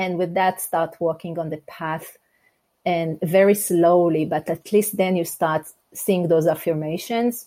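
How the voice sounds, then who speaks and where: With an Israeli accent, a woman speaks at a fairly slow pace. Her voice is fairly low, with a dark, mellow tone. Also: fairly even intonation. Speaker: life coach and speaker. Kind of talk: interview. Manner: direct.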